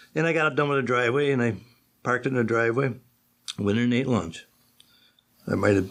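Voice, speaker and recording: With a Western New York accent, the speaker uses ordinary pitch variation against a quiet background. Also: man. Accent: Western New York (Inland North) American. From western New York, Akron. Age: 70s. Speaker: retired machinist. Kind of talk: oral history interview. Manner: conversational storytelling, with many false starts.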